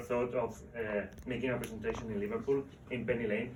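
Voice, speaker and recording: A man with a Spanish accent talks at a fairly quick pace in a medium pitch, with audible echo from the room. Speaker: book author. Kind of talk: book presentation talk. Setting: live event with audience. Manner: halting, repeating words.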